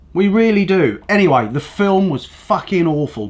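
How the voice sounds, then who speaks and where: In an English accent, a man talks in a high, animated voice at a fairly slow pace, his pitch swinging very widely. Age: 60s. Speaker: news commentary show host. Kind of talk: casual opinionated monologue. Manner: rambling, animated.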